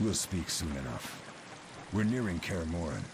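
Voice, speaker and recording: A man speaks in a put-on character voice with a very deep, low pitch. His pace is moderate, and background noise is clearly audible. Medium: video game.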